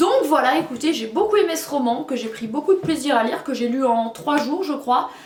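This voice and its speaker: A woman at a high pitch and a moderate pace, with audible room echo and noticeable background noise. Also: hardly any pauses. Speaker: book reviewer. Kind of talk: casual book review vlog.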